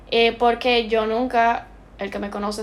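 A woman speaks in a monotone with flat intonation. Noticeable background noise can be heard. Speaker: postgraduate student in interior design. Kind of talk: casual chat.

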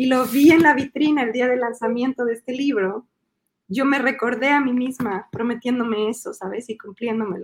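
A woman speaks in a Mexico City accent at a high pitch. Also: ordinary pitch variation, moderate pace. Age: 40s. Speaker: illustrator and children's book author. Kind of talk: interview.

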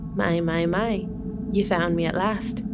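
Loud background noise sits under a put-on character voice. The delivery moves at a fairly slow pace. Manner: mischievous, knowing.

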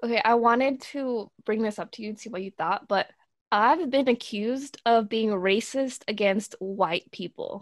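An ordinary speaking voice from a woman, fairly high-pitched with ordinary pitch variation and big swings in loudness, dry and close with no echo. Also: moderate pace. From US West Coast, Southern California and Oregon; born in Mexico. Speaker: podcast co-host. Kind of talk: casual chat.

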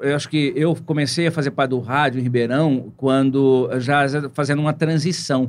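A man's flat, monotone intonation at very even loudness. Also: moderate pace. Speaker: radio presenter. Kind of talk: casual interview chat.

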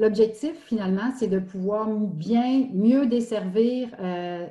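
This woman's fairly high pitch comes with a dark, mellow tone, some breathiness and ordinary pitch variation. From Quebec, Estrie. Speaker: municipal recreation director. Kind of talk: interview. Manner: halting.

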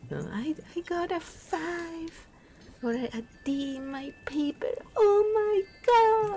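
In a put-on character voice at an extremely high pitch, the speaker goes at a very slow pace with long, frequent pauses. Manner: mocking, dramatic.

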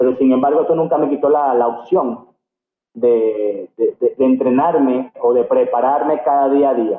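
A plain, everyday voice speaks at a fairly slow pace. Its loudness stays very even and its intonation fairly even. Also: man, fairly high pitch for a man. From Venezuela, Barquisimeto (Lara state). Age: 40s. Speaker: karate champion and coach. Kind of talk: interview.

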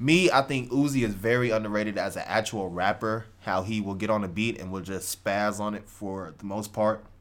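This is a plain, everyday voice from a man with an American accent. His pitch is fairly low, with ordinary pitch variation. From Texas, Houston area. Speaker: podcast co-host. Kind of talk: casual chat.

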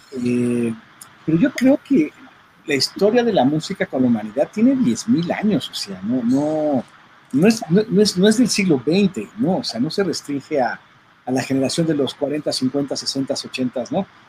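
A man talks at a fairly slow pace, his pitch swinging very widely. There is noticeable background noise. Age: 40s. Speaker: audio engineer and record producer. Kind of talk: casual chat.

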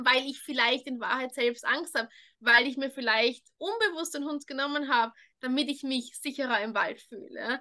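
A woman's raised, projected voice, high-pitched with a bright, sharp tone, at a moderate pace against a quiet background. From Austria, Vienna. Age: 20s. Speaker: dog trainer. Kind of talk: interview.

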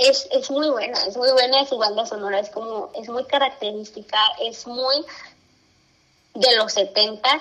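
A woman with a Mexican accent, high-pitched, at a fairly slow pace, with long, frequent pauses and fairly even intonation. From Mexico, Zacatecas. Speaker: podcast co-host. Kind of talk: casual chat. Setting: video call.

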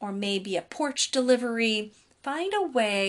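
The intonation stays lively as this passage is read aloud in a natural voice.

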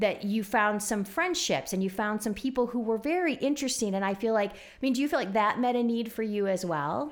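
Speaking at a fairly quick pace, a woman with a fairly high pitch has an unremarkable speaking voice, captured in a very clean recording with a silent background. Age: 40s. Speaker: podcast host. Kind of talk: casual interview.

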